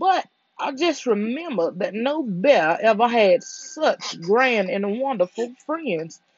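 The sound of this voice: The background stays quiet. What you hear is an unforced reading voice.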